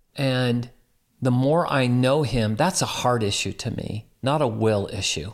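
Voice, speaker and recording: Speaking fairly slowly, a man uses a normal speaking voice at medium pitch. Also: ordinary pitch variation, very clean recording, silent background. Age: 60s. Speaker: pastor and guest. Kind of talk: casual interview chat, faith testimony.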